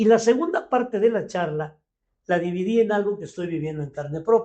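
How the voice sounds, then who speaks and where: This man talks at a fairly quick pace with a high pitch. His intonation is lively. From Mexico City. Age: 70s. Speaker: leadership coach. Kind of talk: podcast interview. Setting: studio.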